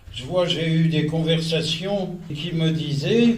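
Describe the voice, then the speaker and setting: At a very slow pace, the voice moves with ordinary pitch variation, set in audible room echo over light background noise. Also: man. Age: 80s+. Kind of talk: religious lecture to an audience. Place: hall. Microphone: podium.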